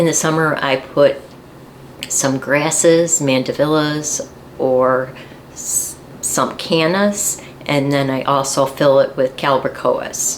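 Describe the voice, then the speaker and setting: Amid noticeable background noise, a woman speaks at a very slow pace with a very deep, low pitch. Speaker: gardening channel host, garden center worker. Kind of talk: tutorial.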